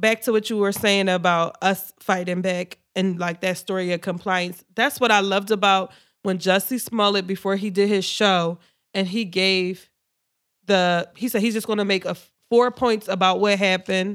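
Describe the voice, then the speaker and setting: A woman talks at a moderate pace in a medium pitch with flat, monotone intonation. The recording is very clean, with a silent background. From Philadelphia area, US. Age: 20s. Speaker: podcast co-host. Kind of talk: casual chat. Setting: studio.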